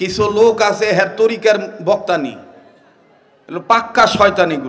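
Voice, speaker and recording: A man speaks at a high pitch with ordinary pitch variation, with noticeable background noise behind him. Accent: Bangladeshi. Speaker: Islamic preacher. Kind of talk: humorous religious sermon. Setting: outdoor gathering.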